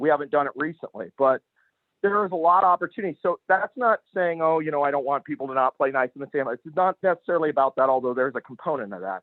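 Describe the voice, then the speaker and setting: The speech runs at a very fast pace with lively intonation. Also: man, fairly high pitch for a man. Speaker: real estate team leader. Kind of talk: online Q&A meeting.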